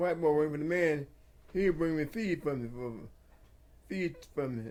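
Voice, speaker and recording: A man with a rural Southern US accent talks at a moderate pace. His voice is fairly high, with ordinary pitch variation. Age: 80s+. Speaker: retired farmer. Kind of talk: interview answer.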